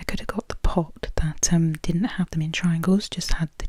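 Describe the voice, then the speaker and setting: A woman with a British accent speaks at a moderate pace and a fairly low pitch. Her intonation stays fairly even, and there is noticeable background noise. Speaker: ASMR creator. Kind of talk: ASMR soft-spoken food video. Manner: rambling, hesitant with many fillers.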